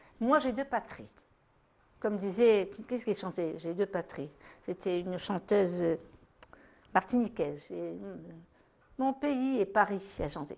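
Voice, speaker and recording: A woman with a medium-pitched voice speaks at a fairly slow pace with lively intonation. She leaves long, frequent pauses. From Tunisia. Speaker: French resident of Tunisia interviewee. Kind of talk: interview testimony.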